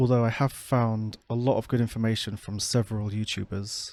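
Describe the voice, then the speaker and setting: In a very clean recording with a silent background, a man with a British accent talks at a moderate pace in a dark, mellow tone, his medium-pitched voice flat and monotone. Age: 30s. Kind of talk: personal vlog talk. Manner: effortful inflection.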